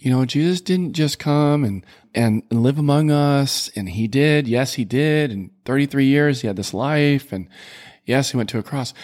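On a very clean recording with a silent background, a man with an unremarkable speaking voice talks at a moderate pace and fairly high pitch, with ordinary pitch variation. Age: 50s. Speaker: podcast co-host. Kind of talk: casual faith conversation.

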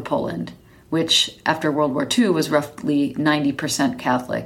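With an American accent, a woman talks at a fairly slow pace. Her pitch is very deep and low. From US Midwest, Chicago area. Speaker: podcast host. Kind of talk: solo podcast monologue.

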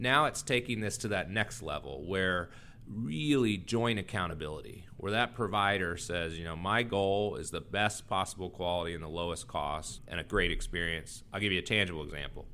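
A man with an American accent has a very deep, low pitch and a bright, sharp tone. He keeps a moderate pace with hardly any pauses and ordinary pitch variation. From Texas. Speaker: health insurance executive and physician. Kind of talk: interview.

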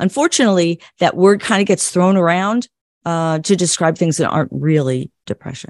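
Using a normal speaking voice, a woman with an American accent talks at a moderate pace, her fairly low pitch showing ordinary variation. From US Midwest. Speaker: psychologist and clinical social worker. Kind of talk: interview.

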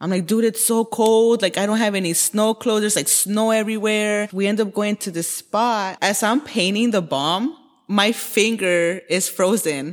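This woman has an ordinary speaking voice, a fairly high pitch and ordinary pitch variation, talking at a moderate pace with an American accent. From Los Angeles, Koreatown. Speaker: graffiti artist. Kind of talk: casual interview.

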